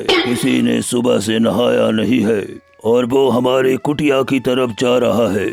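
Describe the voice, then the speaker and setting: A man speaks in a cartoonish character voice at medium pitch and a fairly slow pace, with faint music playing in the background. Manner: commanding, preachy.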